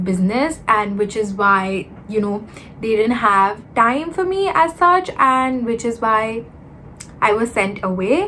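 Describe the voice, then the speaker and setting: Her voice is fairly high-pitched and the pace is fairly slow. There is noticeable background noise behind this woman. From India (Mumbai and Kolkata). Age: 20s. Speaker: YouTuber. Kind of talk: casual chat. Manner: hesitant, filler-heavy.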